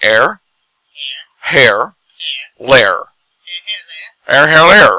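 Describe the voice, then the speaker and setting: A raspy, put-on character voice. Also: man, fairly high pitch for a man. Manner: exaggerated, demonstrating.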